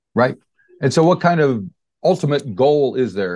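A man speaks in a normal speaking voice with lively intonation. The background is quiet. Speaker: radio interviewer. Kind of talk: casual interview. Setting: phone call.

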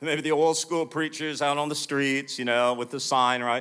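With an American accent, a man speaks at a fairly high pitch in a bright, sharp tone and fairly even intonation, on a very clean recording with a silent background. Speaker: preacher. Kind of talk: sermon. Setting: church with audience.

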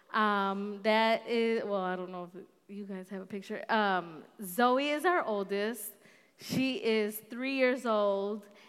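Speaking at a very slow pace with ordinary pitch variation, this voice swings widely in loudness against audible room echo. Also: woman, fairly high pitch for a woman. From north suburbs of Chicago. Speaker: guest preacher. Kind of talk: sermon.

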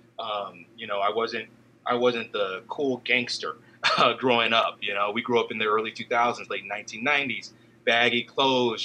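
A man talks at a moderate pace with an American accent. His pitch sits in the medium range, an ordinary speaking voice. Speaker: podcast co-host. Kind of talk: casual chat.

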